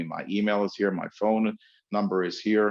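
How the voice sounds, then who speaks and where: The background is quiet. A man speaks with a fairly low pitch. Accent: American. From New York. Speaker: webinar host and speaking coach. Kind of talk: webinar lecture. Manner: fast.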